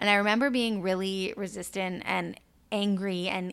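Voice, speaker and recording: At a moderate pace, an unremarkable speaking voice comes through a very clean recording with a silent background. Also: woman. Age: 30s. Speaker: podcast host and spiritual intuitive. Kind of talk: personal storytelling monologue. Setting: solo podcast recording. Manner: casual, conversational.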